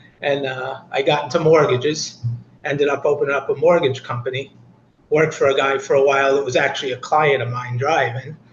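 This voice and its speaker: Speaking at a fairly quick pace, a man with an American accent has a fairly high pitch and fairly even intonation. Noticeable background noise runs underneath. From Boston, Massachusetts. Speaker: rideshare driver. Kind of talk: interview.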